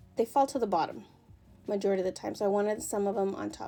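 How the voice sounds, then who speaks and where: A woman's fairly high-pitched voice with music in the background. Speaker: crafting video creator. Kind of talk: voiceover tutorial. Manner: fast; casual, with fillers.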